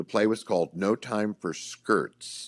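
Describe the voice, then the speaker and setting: On a very clean recording with a silent background, a man with a fairly low pitch and ordinary pitch variation speaks in a plain, everyday voice. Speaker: voice actor. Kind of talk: interview answer.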